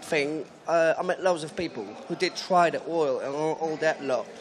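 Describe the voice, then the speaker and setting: A man's fairly high voice at a moderate pace, with ordinary pitch variation over noticeable background noise. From Poland. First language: Polish. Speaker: audience member. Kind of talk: audience question.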